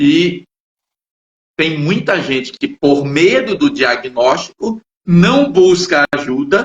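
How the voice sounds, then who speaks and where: A man's high-pitched voice with very wide pitch swings, at a very slow pace. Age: 60s. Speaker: psychologist and channel host. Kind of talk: casual chat. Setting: live stream.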